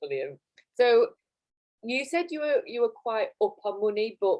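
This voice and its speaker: A woman with a Yorkshire accent at a moderate pace. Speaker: course interviewer. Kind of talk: interview on live stream. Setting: video call.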